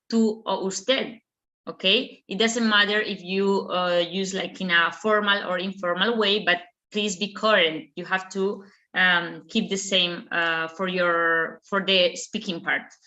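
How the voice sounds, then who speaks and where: The delivery moves at a fairly slow pace. Its intonation stays fairly even. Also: woman. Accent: strong Spanish. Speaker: language examiner and teacher. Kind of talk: online Q&A session. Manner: halting, many fillers.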